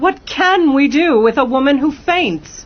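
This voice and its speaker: A woman puts on a character voice with a high pitch and lively intonation. She speaks at a fairly slow pace. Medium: audio drama.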